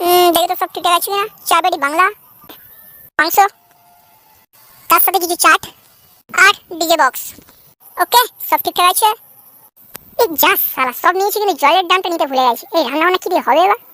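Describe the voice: This cartoonish character voice is squeaky and extremely high in pitch. It moves at a fairly quick pace.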